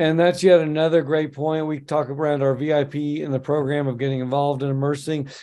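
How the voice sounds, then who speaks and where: Hardly pausing at all, a man talks in a fairly high voice. His intonation stays monotone and flat. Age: 50s. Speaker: podcast host and accountant; podcast host. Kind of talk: casual interview. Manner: hesitant, many filler words. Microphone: video call.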